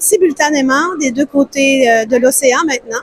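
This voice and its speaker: A woman talks at a fairly slow pace in a high pitch with ordinary pitch variation. The sound is dry and close, with no echo. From Quebec. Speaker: publishing house representative. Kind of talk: interview answer.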